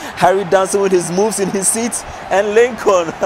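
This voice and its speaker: There is noticeable background noise. A man's voice comes through it. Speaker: esports shoutcaster. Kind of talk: live esports match commentary.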